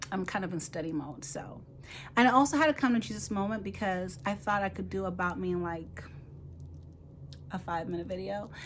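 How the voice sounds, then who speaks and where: At a fairly quick pace, a woman with an American accent talks with long, frequent pauses amid audible room echo. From Nigeria (Igbo). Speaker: physician assistant student and mentor. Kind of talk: casual vlog introduction. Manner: rambling, conversational.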